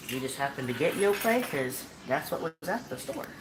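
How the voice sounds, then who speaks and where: Relaxed in tone, a woman speaks at a moderate pace with noticeable background noise behind her. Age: 40s. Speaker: cooking show host. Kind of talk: cooking tutorial live stream. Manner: casual, relaxed.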